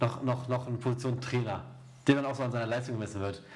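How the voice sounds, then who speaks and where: At a very fast pace, a man speaks in a medium pitch amid audible room echo and noticeable background noise. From Erzgebirge, Saxony. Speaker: football podcast host. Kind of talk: casual chat.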